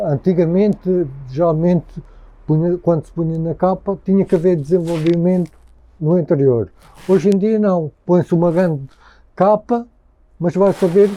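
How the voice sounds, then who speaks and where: This man's high-pitched voice has a dark, mellow tone and fairly even intonation. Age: 50s. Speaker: interviewee. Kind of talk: interview. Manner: halting.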